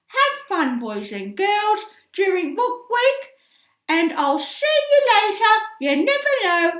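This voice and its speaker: In a put-on character voice, a woman speaks at a fairly slow pace with an extremely high pitch and very wide pitch swings. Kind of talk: in-character school book week reading. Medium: read story. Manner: gleeful, mischievous.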